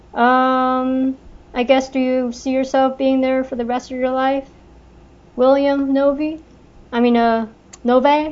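With a Californian accent, a woman speaks very slowly at a high pitch, her intonation monotone and flat and her speech broken by long, frequent pauses. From Los Angeles, California. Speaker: podcast co-host. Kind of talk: casual chat.

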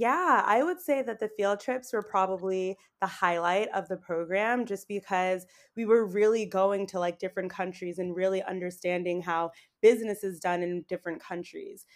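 A woman with a normal speaking voice talks at medium pitch and a moderate pace with ordinary pitch variation, in a very clean recording with a silent background. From Boston, Massachusetts, US. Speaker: YouTuber living abroad. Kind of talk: casual interview chat.

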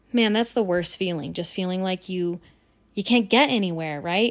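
Moderately paced and at medium pitch, a woman uses an unremarkable speaking voice with ordinary pitch variation in a very clean recording with a silent background. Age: 30s. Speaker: podcast host and trauma coach. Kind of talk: solo podcast monologue. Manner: casual, conversational.

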